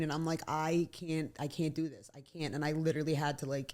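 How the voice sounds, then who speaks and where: In an American accent, a woman talks at a fairly quick pace with a fairly low pitch, on a very clean recording with a silent background. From South Philadelphia. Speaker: nursing student and former esthetician. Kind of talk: casual chat. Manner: animated, rambling storytelling.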